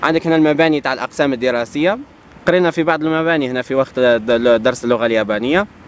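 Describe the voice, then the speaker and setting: Fairly quick delivery from a man, ordinary pitch variation, dry sound with no echo. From Algeria. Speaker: travel vlogger. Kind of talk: casual vlog talk to camera. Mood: playful, upbeat. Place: street. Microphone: phone near.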